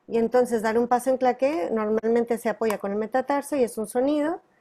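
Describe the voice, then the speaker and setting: Hers is an unremarkable speaking voice. The woman speaks at a fairly high pitch with ordinary pitch variation. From northern Mexico. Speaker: tap and flamenco dancer and teacher. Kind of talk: interview.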